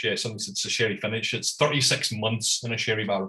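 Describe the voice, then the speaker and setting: A man talks with a strong Scottish accent. His tone is bright and sharp. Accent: thick Scottish. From Scotland. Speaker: whisky importer and tasting host. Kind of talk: live online whisky tasting presentation. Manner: casual, hesitant.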